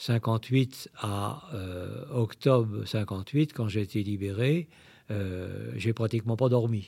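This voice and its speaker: Here is a man's voice at a medium pitch. Its tone is dark and mellow. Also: very clean recording, silent background. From Brittany, Saint-Malo. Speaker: priest and war veteran. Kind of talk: testimony. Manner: halting.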